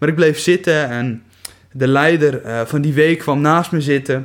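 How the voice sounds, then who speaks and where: This man's pitch is fairly high. He talks at a fairly slow pace. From Netherlands, Kuinre area (Overijssel/Friesland border). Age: 20s. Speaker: missionary recruiter and church youth worker. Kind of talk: casual faith interview, testimony.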